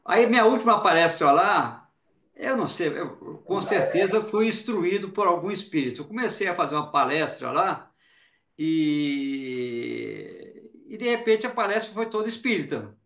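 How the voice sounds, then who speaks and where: Audible room echo surrounds a man talking at a fairly slow pace. His pitch is high and his intonation lively. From Brazil, Belo Horizonte (Minas Gerais). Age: 60s. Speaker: journalist and spiritist speaker. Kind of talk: interview testimony. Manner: conversational, some repetition and false starts.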